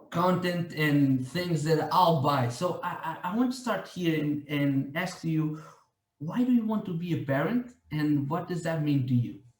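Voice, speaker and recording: Someone with a non-native accent speaks at a fairly slow pace with ordinary pitch variation, and audible room echo surrounds the voice. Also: man. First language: not English. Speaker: podcast host. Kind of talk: interview. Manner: halting.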